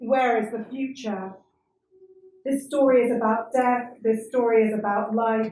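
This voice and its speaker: A woman with a British accent, fairly high in pitch, with monotone, flat intonation at a fairly slow pace and audible room echo. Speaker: performance reader. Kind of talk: reading aloud at a live performance.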